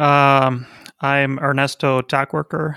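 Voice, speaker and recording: A man with a Spanish accent speaks very slowly at a fairly high pitch, his tone bright and sharp. The sound is dry and close with no echo, on a very clean recording with a silent background. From Argentina, Buenos Aires. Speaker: software consultancy founder. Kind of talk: casual interview.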